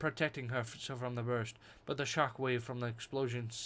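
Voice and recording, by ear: A natural voice reading text aloud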